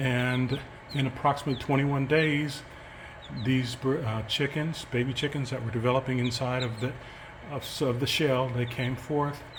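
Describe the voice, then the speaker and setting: A man talks at a moderate pace with monotone, flat intonation. Audible room echo surrounds his voice. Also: medium pitch for a man. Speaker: chicken keeper and educator. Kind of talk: casual explainer video. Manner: hesitant, many fillers.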